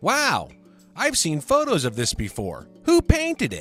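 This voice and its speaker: A man in a cartoonish character voice, with faint music in the background. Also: moderate pace. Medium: puppet. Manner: curious, naive.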